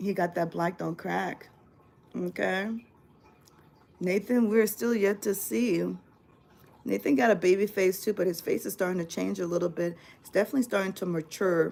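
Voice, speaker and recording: Long, frequent pauses break up a woman's medium-pitched speech, which has vocal fry. Her loudness swings widely. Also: ordinary pitch variation, moderate pace. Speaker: family vlogger and mother. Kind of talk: casual live stream chat. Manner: animated.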